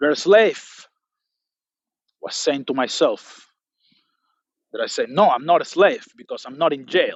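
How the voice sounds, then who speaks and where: Talking at a fairly slow pace with a non-native accent, a man leaves long, frequent pauses and his loudness swings widely. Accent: non-native English pronunciation. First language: not English. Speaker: motivational speaker. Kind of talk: motivational monologue.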